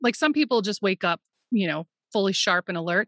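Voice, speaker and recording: A woman with a plain, everyday voice speaks at a moderate pace. The recording is very clean with a silent background and a dry, close sound with no echo. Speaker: therapist and business coach. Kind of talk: casual interview chat.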